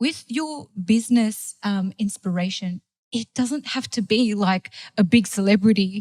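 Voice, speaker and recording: The voice is somewhat breathy, with a non-native accent. The sound is dry and close, with no echo. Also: woman, fairly high pitch for a woman, ordinary pitch variation, fairly slow pace. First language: not English. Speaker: food blogger and marketing agency owner. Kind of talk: casual chat. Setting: studio. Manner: animated.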